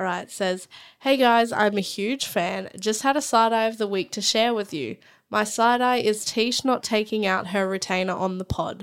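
A woman speaks at a moderate pace in a clear, smooth tone. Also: medium pitch for a woman, ordinary pitch variation, few pauses.

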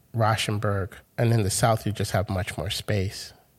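A man with an American accent speaks at a fairly slow pace and fairly low pitch, somewhat breathy and with fairly even intonation. The recording is very clean, with a silent background. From Grenada and Brooklyn, New York. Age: 40s. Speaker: artist. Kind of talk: interview conversation.

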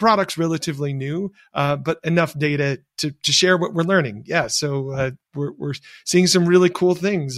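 A man with a plain, everyday voice talks at a moderate pace with fairly even intonation, in a dry, close sound with no echo on a very clean recording with a silent background. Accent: American. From US Midwest, rural Michigan. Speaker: tech entrepreneur. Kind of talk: interview.

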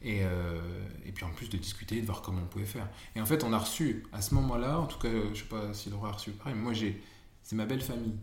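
A man speaks very fast at a fairly low pitch, with ordinary pitch variation. Room echo is audible, and background noise is noticeable. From northern France, Amiens. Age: 30s. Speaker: expectant father of triplets. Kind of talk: casual chat.

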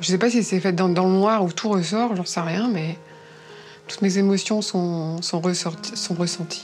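Music plays in the background as a woman speaks at a medium pitch. Her pace is fairly slow, and her intonation is fairly even. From northern France, Dunkirk. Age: 40s. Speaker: nurse and therapist, dating show participant. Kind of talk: casual chat, blind date. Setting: in total darkness, recorded date.

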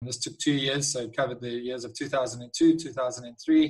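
This voice belongs to a man. It carries a somewhat breathy quality. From Eastern Cape, South Africa. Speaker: winemaker. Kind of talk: interview.

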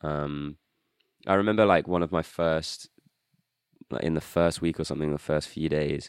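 Speaking with a British accent, a man has a very deep, low pitch and fairly even intonation. His pace is moderate, broken by long, frequent pauses. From UK. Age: 20s. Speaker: drummer and songwriter. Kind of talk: casual chat.

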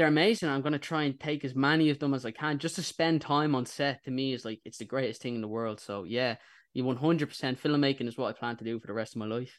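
A man with an Irish accent talks at a very fast pace, at a medium pitch. His pitch varies in an ordinary way, and the background is quiet. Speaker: YouTube interviewer. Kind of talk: radio interview. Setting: radio studio.

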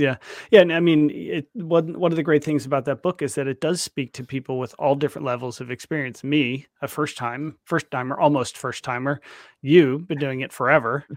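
A man with an ordinary speaking voice talks at a fairly quick pace and a fairly high pitch. His pitch varies in an ordinary way, and the sound is dry and close with no echo. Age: 50s. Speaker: podcast host. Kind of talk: podcast interview.

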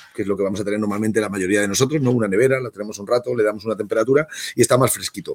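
The speaker is a man with ordinary pitch variation. He talks at a very fast pace. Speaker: wine tasting host. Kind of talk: casual wine tasting chat.

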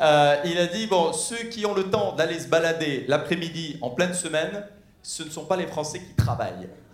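Over noticeable background noise, a man talks at a moderate pace in a high voice, with ordinary pitch variation and big swings in loudness. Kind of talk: stand-up comedy. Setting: stage with audience. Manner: irreverent, mock-casual delivery with audience interaction.

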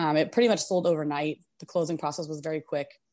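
A woman has a plain, everyday voice with an American accent and ordinary pitch variation. Behind her the background is quiet. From US Northeast. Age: 30s. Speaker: long-distance hiker. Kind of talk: interview.

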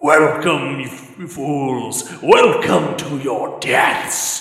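Through a strong echo, a man puts on a character voice at a fairly high pitch, speaking at a very slow pace. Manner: malevolent, gloating.

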